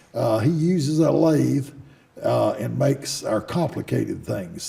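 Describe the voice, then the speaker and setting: Noticeable background noise behind a man with a North Carolina accent, speaking at a fairly slow pace. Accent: Southern US (North Carolina). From US South (North Carolina, Davidson County). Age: 70s. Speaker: business owner. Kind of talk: interview. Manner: halting, frequent fillers.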